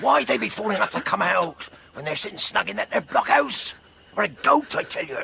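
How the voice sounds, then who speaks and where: A man puts on a high-pitched character voice and speaks at a fairly quick pace. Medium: audio drama.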